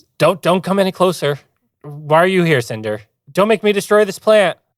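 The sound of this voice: A shaky, high-pitched put-on character voice from a man, at a fairly quick pace.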